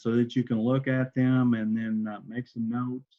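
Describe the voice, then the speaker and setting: An unremarkable speaking voice, a man with an American accent talks at a fairly slow pace and medium pitch. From Oklahoma. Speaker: entrepreneur, presenter. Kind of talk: online workshop presentation.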